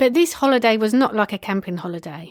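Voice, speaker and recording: A woman with a British accent talks at a fairly quick pace. The recording is very clean, with a silent background. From UK. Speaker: podcast consultant. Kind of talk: solo podcast monologue. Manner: casual, conversational.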